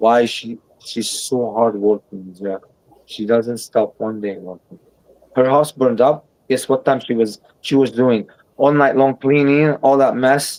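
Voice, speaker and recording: At a fairly slow pace, a man speaks in a normal speaking voice, medium in pitch, with ordinary pitch variation. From abroad, moved to US. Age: 40s. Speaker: livestream host. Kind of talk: casual chat.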